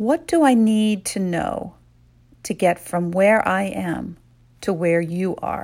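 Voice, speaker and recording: On a very clean recording with a silent background, a woman speaks very slowly in a calm, gentle tone, her medium pitch showing ordinary variation. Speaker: meditation guide. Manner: slow, calm and hushed, with short gentle directives separated by pauses for reflection; soothing and intimate, softly prompting questions to the listener's inner self.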